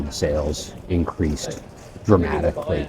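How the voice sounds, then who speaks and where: Noticeable background noise accompanies this recording. A man with a Canadian accent talks with fairly even intonation. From Canada. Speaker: English teacher. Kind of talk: casual vlog lesson. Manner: slow, clear.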